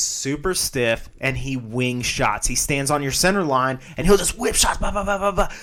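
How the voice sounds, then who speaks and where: A man speaks at a medium pitch with ordinary pitch variation and a moderate pace. It is a plain, everyday voice. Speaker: MMA podcast host. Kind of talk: casual chat.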